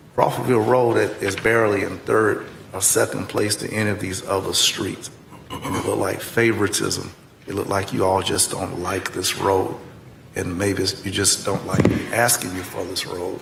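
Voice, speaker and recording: A man talks at a moderate pace with a fairly low pitch and a monotone, flat intonation, amid noticeable background noise and audible room echo. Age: 70s. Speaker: county commissioner. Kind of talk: public meeting debate.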